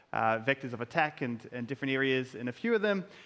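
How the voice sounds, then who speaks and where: A man with a New Zealand accent, bright, sharp tone and lively intonation. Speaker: security researcher. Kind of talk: conference talk.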